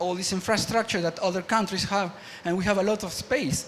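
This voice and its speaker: A man talks fairly quickly as noticeable background noise continues. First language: Spanish. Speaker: media artist and engineer, panel speaker. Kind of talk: conference talk. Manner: halting, many false starts and fillers.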